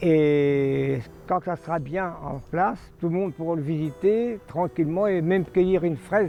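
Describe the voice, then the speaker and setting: Over music in the background, a man with a high-pitched voice speaks at a fairly slow pace with ordinary pitch variation. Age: 70s. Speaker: care home resident. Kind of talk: documentary interview.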